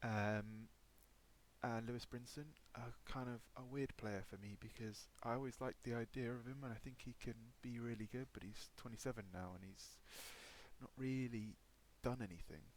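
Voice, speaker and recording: Delivered at a moderate pace in an English accent, the speech keeps a fairly even intonation. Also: man, medium pitch for a man. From England. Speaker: gaming YouTuber. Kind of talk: gameplay commentary. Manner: hesitant, many fillers.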